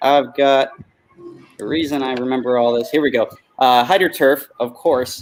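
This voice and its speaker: Here a man with a medium pitch and an ordinary speaking voice talks at a moderate pace. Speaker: jet ski freestyle rider. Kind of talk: casual interview.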